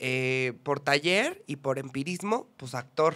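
A man speaks with a fairly high pitch in a central Mexican accent. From Mexico, Puebla. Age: 20s. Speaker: journalist and actor; podcast guest, journalist. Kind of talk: interview. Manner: expressive. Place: studio. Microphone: studio mic.

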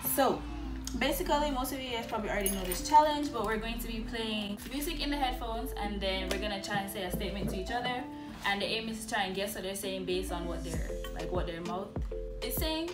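Over loud music in the background, a woman talks at a very fast pace. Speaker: channel host. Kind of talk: casual talk to camera. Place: home room. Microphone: phone near.

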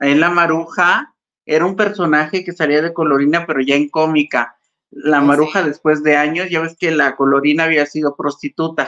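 Speech moves at a moderate pace with fairly even intonation. The background is quiet. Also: woman, very deep, low pitch for a woman. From Mexico. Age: 50s. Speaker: actress. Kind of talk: casual chat. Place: home room. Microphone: video call.

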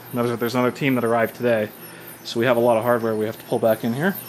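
A very fast pace with light background noise. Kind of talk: tour commentary. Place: workshop. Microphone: phone near.

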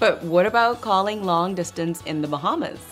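Faint music plays in the background as a woman speaks in an upbeat tone with ordinary pitch variation. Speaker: infomercial host. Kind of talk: infomercial host talk. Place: studio.

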